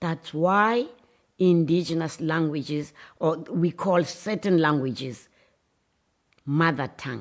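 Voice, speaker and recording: A woman with a South African accent speaks at a very slow pace in a fairly low pitch, with ordinary pitch variation and long, frequent pauses. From South Africa, Xhosa-speaking. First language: isiXhosa. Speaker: writer. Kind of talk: speech. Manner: impassioned.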